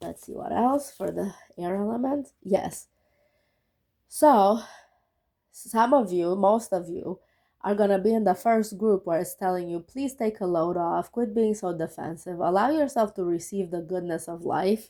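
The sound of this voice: A woman speaks at a fairly slow pace with a dark, mellow tone. Her pitch is medium, with ordinary pitch variation.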